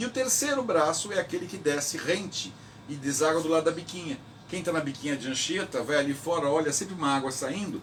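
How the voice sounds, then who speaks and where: A man with a fairly high voice speaks fairly quickly and with lively intonation as noticeable background noise carries on. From Brazil, São Vicente (São Paulo coast). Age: 60s. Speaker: local historian, president of a historical institute. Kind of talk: radio interview. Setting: radio interview recorded at the institute.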